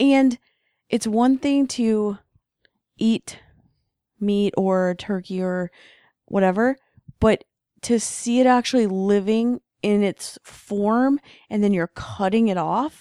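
A soft-spoken woman with a dark, mellow tone and a fairly high pitch speaks at a very slow pace, with ordinary pitch variation. Long, frequent pauses break up her speech in a very clean recording with a silent background. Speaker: podcast co-host. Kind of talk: casual chat.

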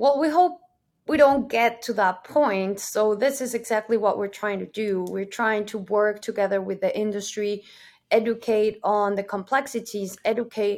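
On a very clean recording with a silent background, a woman with a Spanish accent speaks at a moderate pace, her fairly high pitch showing ordinary variation. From Mexico. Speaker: solutions architect, engineer. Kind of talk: interview.

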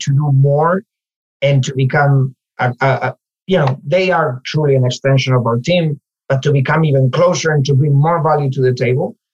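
Somewhat breathy, a man with a Spanish accent speaks with fairly even intonation in a dry, close sound with no echo. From Spain, Galicia (Ourense). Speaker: localization manager. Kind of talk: interview conversation.

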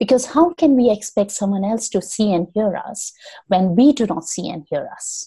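A woman with a fairly high pitch and a dark, mellow, somewhat breathy tone talks at a moderate pace. Her intonation is lively, and her loudness swings widely. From India. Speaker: storytelling coach. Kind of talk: interview conversation.

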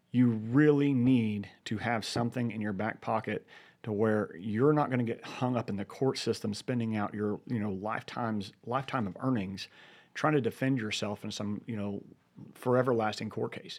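A man with a plain, everyday voice, medium pitch, fairly even intonation and a moderate pace, in a very clean recording with a silent background. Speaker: firearms training business owner, co-host. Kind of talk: radio show co-host chat, explaining ideas. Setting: radio studio. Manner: relaxed, conversational, thoughtful.

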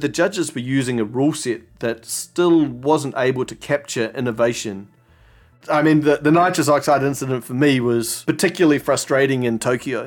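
A man with a New Zealand accent speaks at a moderate pace in a fairly high pitch. His pitch variation is ordinary, and music plays in the background. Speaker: barista champion. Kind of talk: interview storytelling.

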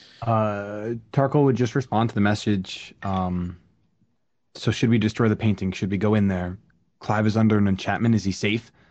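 With a normal speaking voice, a man of fairly low pitch talks at a moderate pace, keeping very even loudness and fairly even intonation.

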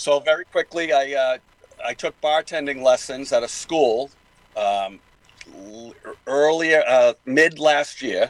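In a Boston accent, a man talks at a moderate pace with a fairly high pitch and fairly even intonation, recorded dry and close with no echo. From Boston area, Massachusetts. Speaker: guest, actor and former software developer. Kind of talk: casual interview.

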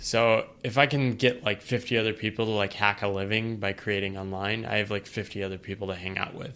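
A man's bright, sharp voice, fairly low in pitch, with an American accent and fairly even intonation. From US Northeast, eastern Connecticut. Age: 30s. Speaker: writer on work and life. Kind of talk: podcast interview.

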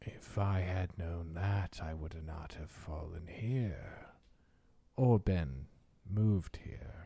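In a put-on character voice, a man speaks very slowly at a very deep, low pitch. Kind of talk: archaic, solemn speech. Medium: actual play. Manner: grave, terse.

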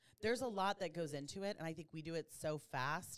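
Lively intonation marks this woman's fairly quick delivery. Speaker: insurance agent, podcast co-host. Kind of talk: casual chat. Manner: fast talker.

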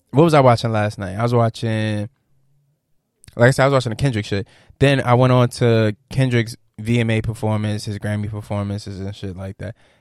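Loudness swings widely as a man talks at a fairly quick pace with medium pitch and fairly even intonation, on a very clean recording with a silent background and a dry, close sound with no echo. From Norfolk, Virginia. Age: 20s. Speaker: podcast host. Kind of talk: casual chat.

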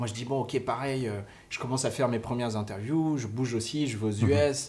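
At a fairly quick pace, a man talks in a somewhat breathy voice at a medium pitch with fairly even intonation. Audible room echo is present. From Cameroon. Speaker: music licensing executive. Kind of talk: casual interview. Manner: halting.

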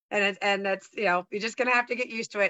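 Speaking at a medium pitch with ordinary pitch variation, a woman has an American accent. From US West Coast, San Francisco Bay Area. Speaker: sales trainer and speaker. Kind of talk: casual chat. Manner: animated.

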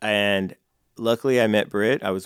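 Very deep, low-pitched male voice with an American accent, in a dry, close sound with no echo and a very clean recording with a silent background. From California. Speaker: jiu-jitsu instructor and nonprofit founder. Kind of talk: interview conversation. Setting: studio.

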